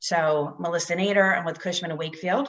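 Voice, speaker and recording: A woman talks at a fairly quick pace. Her fairly low voice keeps a fairly even intonation. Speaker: commercial real estate broker. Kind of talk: event hosting on video call. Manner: fast.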